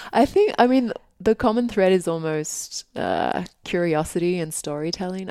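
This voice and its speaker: A woman with an Australian accent, dark, mellow tone and moderate pace, in a very clean recording with a silent background. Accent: Australian, somewhat. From Australia (Sydney). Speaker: author. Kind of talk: interview. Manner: casual, hesitant with fillers.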